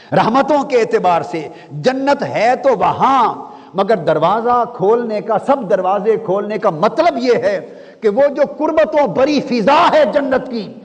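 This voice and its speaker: Lively intonation carries the speech over noticeable background noise. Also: man, extremely high pitch for a man. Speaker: Islamic scholar, religious speaker. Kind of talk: Islamic sermon, religious lecture. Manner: rhetorical, preaching, rhythmic repetition.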